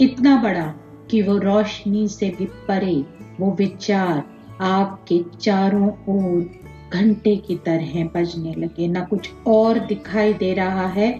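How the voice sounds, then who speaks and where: Music plays behind a woman speaking in a calm, soothing tone. Her pitch is medium and varies in an ordinary way. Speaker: meditation guide. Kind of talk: guided meditation. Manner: slow, calm, soothing.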